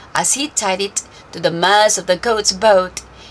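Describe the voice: A woman speaking at a fairly slow pace with ordinary pitch variation. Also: medium pitch for a woman.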